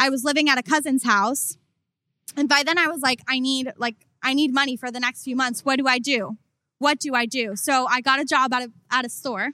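On a very clean recording with a silent background and a dry, close sound with no echo, the speaker uses a raised, projected voice with a bright, sharp tone, fairly even intonation, and a fairly quick pace. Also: woman, high pitch for a woman. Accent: American. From South Florida (Coral Springs, near Miami). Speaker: entertainment and fashion journalist. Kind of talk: casual interview. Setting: live podcast recording with audience.

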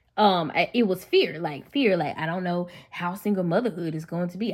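A woman with a Memphis accent speaks in an animated tone. Her intonation is lively. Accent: Southern US, Memphis. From Memphis, Tennessee. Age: 30s. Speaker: podcast host. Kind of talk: solo podcast monologue, personal testimony. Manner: conversational, animated, faith-inflected.

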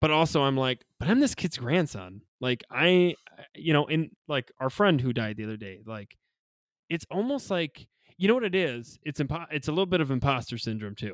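Speaking at a moderate pace, a man uses a fairly high pitch with very wide pitch swings. The sound is dry and close with no echo, and the recording is very clean over a silent background. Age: 30s. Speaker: funeral director. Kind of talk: casual chat.

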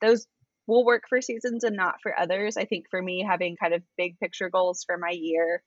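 A woman with an American accent talks at a moderate pace in a normal speaking voice, with ordinary pitch variation. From Arizona. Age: 20s. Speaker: church communications worker. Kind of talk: casual chat.

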